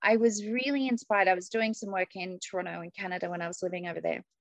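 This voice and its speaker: The speaker has an Australian accent. The sound is dry and close, with no echo. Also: woman. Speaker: executive coach and leadership trainer. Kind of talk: interview conversation.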